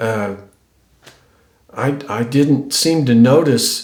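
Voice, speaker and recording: A medium-pitched man with an American accent and ordinary pitch variation, with audible room echo. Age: 60s. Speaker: YouTuber. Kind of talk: casual vlog talk to camera. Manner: halting, many repeats and fillers.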